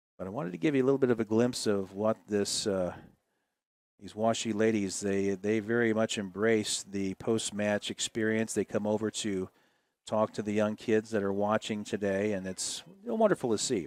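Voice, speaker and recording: In a normal speaking voice, a man with an American accent talks at a moderate pace with fairly low pitch and fairly even intonation, the sound dry and close with no echo on a very clean recording with a silent background. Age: 60s. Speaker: play-by-play broadcaster. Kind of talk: live commentary. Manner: casual, with many fillers.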